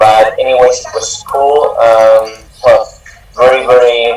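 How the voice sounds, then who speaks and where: With noticeable background noise, a man talks in a strong Spanish accent. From Spain, Albacete. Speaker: honor society chapter president. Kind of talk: panel discussion. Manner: halting.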